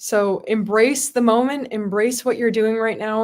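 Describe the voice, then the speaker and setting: In a Midwestern US accent, a woman speaks at a moderate pace with a fairly high pitch. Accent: General American, Midwestern. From US Midwest (Palatine, Illinois). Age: 20s. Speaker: state legislator. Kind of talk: motivational talk and Q&A.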